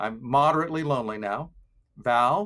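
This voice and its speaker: Using a plain, everyday voice, a man talks at a moderate pace and medium pitch with ordinary pitch variation. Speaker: filmmaker presenting a loneliness quiz. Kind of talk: virtual presentation.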